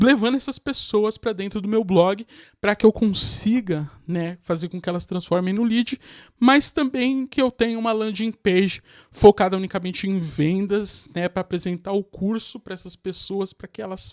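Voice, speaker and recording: High-pitched for a man, this speaker moves at a fairly slow pace with ordinary pitch variation and big swings in loudness, recorded very clean against a silent background with a dry, close sound and no echo. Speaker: digital marketing youtuber. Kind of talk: tutorial. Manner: casual.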